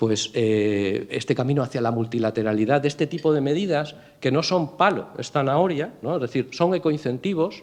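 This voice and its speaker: A man speaks with lively intonation. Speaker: port authority president. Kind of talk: interview at a business breakfast. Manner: fast; stumbles over words.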